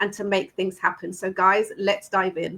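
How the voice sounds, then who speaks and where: A woman speaks with a British accent in an animated tone. Her voice sounds bright and sharp. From UK. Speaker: online business host. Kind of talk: live stream hosting.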